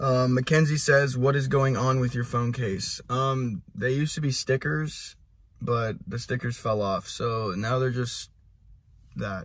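Somewhat breathy speech comes at a fairly slow pace with ordinary pitch variation. The sound is dry, with no echo. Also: man. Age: 20s. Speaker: musician and vlogger; vlogger. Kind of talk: casual Q&A vlog. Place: car. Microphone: phone near.

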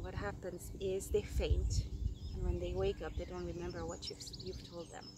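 A woman talks at a moderate pace in a warm tone. Noticeable background noise is present. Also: big swings in loudness, dry sound with no echo. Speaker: storyteller. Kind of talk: storytelling, an improvised fairy-tale-style narration to the camera. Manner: halting, with frequent 'um' and 'uh' fillers as she makes up the tale; warm and affectionate, laughing and getting a bit emotional. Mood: animated, expressive. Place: open country. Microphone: phone near.

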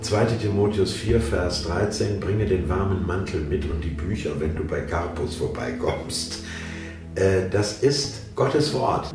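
A man's very deep, low voice at a very slow pace, with audible room echo and clear music in the background. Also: lively intonation. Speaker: audiobook narrator. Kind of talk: interview answer. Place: home room.

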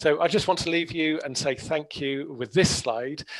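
With a southern English accent, a man speaks at a moderate pace with ordinary pitch variation. The background is quiet. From southern England, Hampshire; southern England. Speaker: botanist. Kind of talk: webinar talk. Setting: video call. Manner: hesitant, many fillers. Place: home room. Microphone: headset.

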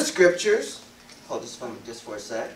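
The voice heard is a man's. Audible room echo hangs around his words. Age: 50s. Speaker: elder / guest preacher; guest preacher. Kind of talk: sermon. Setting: congregation assembly. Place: meeting room. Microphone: podium.

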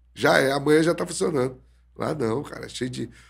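Talking very fast with fairly even intonation, a man speaks with vocal fry. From Brazil. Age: 40s. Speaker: jiu-jitsu instructor; jiu-jitsu instructor guest. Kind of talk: casual interview. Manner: halting, repeated words. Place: studio. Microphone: studio mic.

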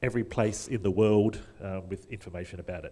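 A dark, mellow tone with fairly even intonation and an Australian accent. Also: man. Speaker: conference speaker, wiki volunteer; conference speaker. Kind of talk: conference talk. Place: hall.

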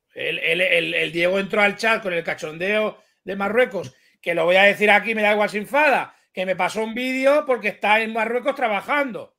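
A man projects a raised voice with a bright, sharp tone, high pitch, ordinary pitch variation and a moderate pace. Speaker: YouTube streamer. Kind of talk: casual chat. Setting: video call. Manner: crude, blunt.

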